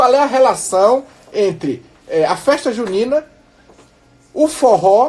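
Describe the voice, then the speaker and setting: A man speaks with very wide pitch swings. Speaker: radio guest commentator explaining festival history. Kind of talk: radio talk show. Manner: measured, explanatory, with hesitations.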